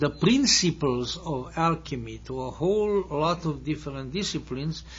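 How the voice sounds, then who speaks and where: There is audible echo in the room. A man speaks with a Hungarian accent. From Hungary. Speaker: lecturer. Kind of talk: lecture. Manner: halting.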